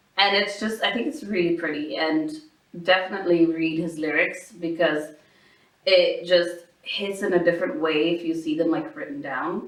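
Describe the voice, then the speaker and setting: Audible room echo surrounds a woman speaking in a fairly low voice at a moderate pace with ordinary pitch variation. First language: not English. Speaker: podcast co-host. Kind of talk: casual chat.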